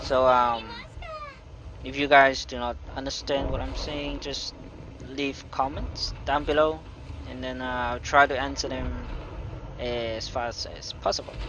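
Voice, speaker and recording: A man speaks fairly slowly with long, frequent pauses, against noticeable background noise and audible room echo. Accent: non-native. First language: not English. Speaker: gaming youtuber. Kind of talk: gameplay commentary. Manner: hesitant, many fillers.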